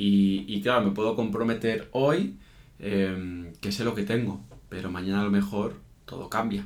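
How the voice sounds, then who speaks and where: Audible room echo surrounds this man. His pitch is fairly low and varies in an ordinary way. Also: fairly slow pace. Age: 30s. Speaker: podcast co-host. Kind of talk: casual chat. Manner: hesitant, many fillers.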